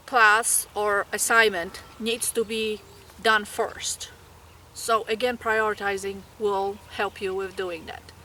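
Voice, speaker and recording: The speaker has a Polish accent, with noticeable background noise behind the voice. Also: woman. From Poland. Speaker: graduate nursing student. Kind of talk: tutorial.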